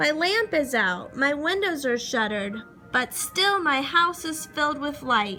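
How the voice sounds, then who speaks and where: Clear music plays in the background. Over it, a put-on character voice talks at a moderate pace. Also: woman, high pitch for a woman. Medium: read story. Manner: gruff, curt.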